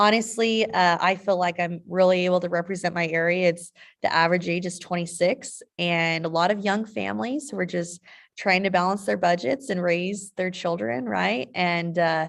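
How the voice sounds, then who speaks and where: In a normal speaking voice, a woman with an American accent talks at a moderate pace, her fairly low pitch showing ordinary variation. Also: quiet background. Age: 30s. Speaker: state legislator. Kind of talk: town hall interview.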